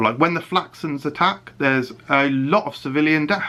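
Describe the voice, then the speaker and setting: A man speaks with a British accent. His tone is bright and sharp, and his pace is moderate. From UK. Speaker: YouTube reviewer. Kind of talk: casual video review. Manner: animated; hesitant fillers.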